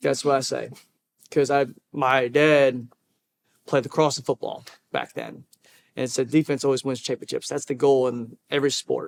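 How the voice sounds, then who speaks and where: A man speaks in flat, monotone intonation with long, frequent pauses. The sound is dry and close, with no echo. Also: medium pitch for a man, moderate pace. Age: 20s. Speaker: hotel employee. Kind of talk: interview. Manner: halting.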